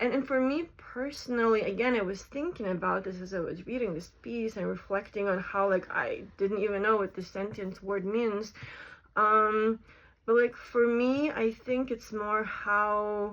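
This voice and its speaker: At a fairly slow pace, a woman with a non-native accent speaks in a fairly high pitch. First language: not English. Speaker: content creator talking about AI. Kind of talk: casual vlog monologue. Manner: hesitant, filler-heavy.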